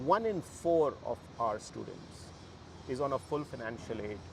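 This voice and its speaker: A man speaks with a Bihar accent and a fairly high pitch. His voice is somewhat breathy. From Bihar, India. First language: Bhojpuri. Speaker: university co-founder. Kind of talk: interview. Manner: animated.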